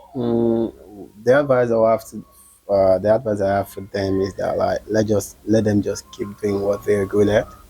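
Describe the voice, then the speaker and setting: A man talks in a monotone, flat intonation. Music plays in the background. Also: fairly low pitch for a man, moderate pace. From Gambia. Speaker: comedian and actor. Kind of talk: interview.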